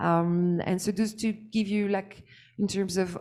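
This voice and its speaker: A woman with a dark, mellow tone talks in a very clean recording over a silent background. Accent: French. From France. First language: French. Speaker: startup founder. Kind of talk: pitch presentation. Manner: halting, many fillers.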